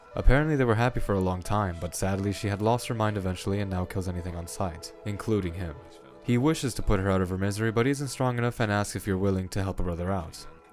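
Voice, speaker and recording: A man rattles along at a very fast pace, his pitch varying in an ordinary way, while music plays behind him. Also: fairly low pitch for a man. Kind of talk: video essay narration. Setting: worn home microphone, occasional popping.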